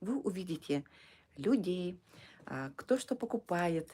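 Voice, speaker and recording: Her voice is fairly low and dark, mellow in tone, and this woman's intonation is lively. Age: 60s. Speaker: direct sales distributor running a service centre. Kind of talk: live stream sales talk. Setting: live stream. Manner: halting; soft-spoken. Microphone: too quiet.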